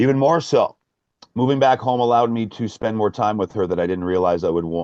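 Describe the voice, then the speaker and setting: A man at a very fast pace, dark, mellow tone and lively intonation, in a dry, close sound with no echo. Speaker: spiritual medium and speaker. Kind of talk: interview answer. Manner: bold, brash, unapologetic.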